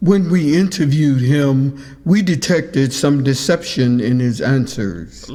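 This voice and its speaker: Putting on a character voice, a man at a medium pitch speaks at a fairly slow pace over light background noise. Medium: audio drama. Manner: formal, stiff.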